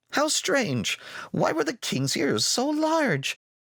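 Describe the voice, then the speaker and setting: A put-on character voice moves at a very slow pace with very wide pitch swings. The sound is dry and close, with no echo. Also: man, high pitch for a man. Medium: read story. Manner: hesitant, reserved.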